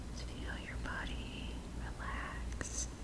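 A woman over loud background noise. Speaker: hypnosis guide. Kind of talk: ASMR guided relaxation hypnosis. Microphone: studio mic.

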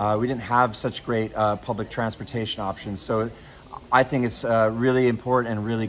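Faint music plays behind a man who speaks fairly quickly with an American accent and fairly even intonation. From United States. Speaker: customer service advisor, former TV weatherman. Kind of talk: casual talk to camera. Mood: upbeat, friendly. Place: station. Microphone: lapel.

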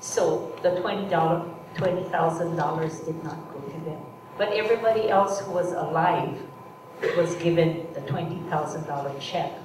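Very slow, fairly low-pitched female speech with fairly even intonation and big swings in loudness, plus noticeable background noise and audible room echo. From Hawaii. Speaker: artist and camp survivor speaker; presenter. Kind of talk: public talk with slides. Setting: stage with audience. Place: hall.

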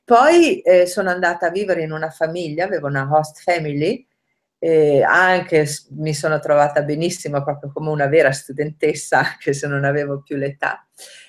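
A woman speaks at a moderate pace with a very deep, low pitch. The background is quiet. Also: fairly even intonation. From northern Italy, Rovereto (Trentino); Trentino, Italy. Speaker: language learner, nanny; interviewee. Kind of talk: interview. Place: kitchen. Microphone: webcam.

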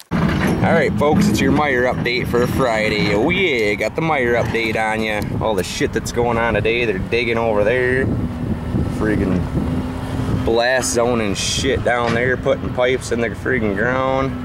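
Loud background noise surrounds a man speaking at a moderate pace. The sound is dry with no echo, and his pitch varies in an ordinary way. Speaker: vlogger. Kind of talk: casual vlog chat. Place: car. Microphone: phone near.

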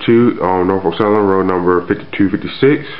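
A man speaks at a moderate pace with a fairly low pitch, with noticeable background noise behind him. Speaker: model railroad hobbyist. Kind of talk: casual talk to camera.

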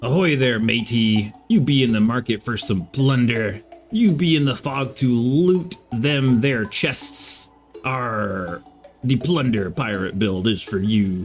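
Over faint music in the background, a man puts on a character voice at a medium pitch and a fairly slow pace. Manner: gruff, playful.

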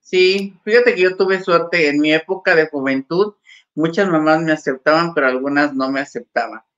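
A woman's normal speaking voice, fairly low in pitch, with ordinary pitch variation, a moderate pace and a quiet background. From Mexico. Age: 50s. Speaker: actress. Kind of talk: casual chat. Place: home room. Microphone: webcam.

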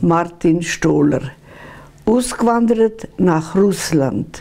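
A woman is speaking. Her pace is very slow. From Bessarabia, Swiss settler village. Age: 80s+. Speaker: contemporary witness. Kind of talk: interview answer. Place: home room.

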